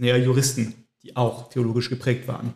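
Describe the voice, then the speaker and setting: A man speaks at a very fast pace, his voice somewhat breathy. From French-speaking Switzerland. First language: French (speaking German). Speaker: theologian. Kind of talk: casual chat. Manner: halting.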